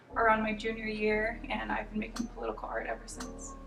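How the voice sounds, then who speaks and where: A woman speaks with an American accent. Music plays in the background, and audible room echo is present. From Arizona, Phoenix. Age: 20s. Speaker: artist. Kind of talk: interview. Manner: hesitant, many fillers.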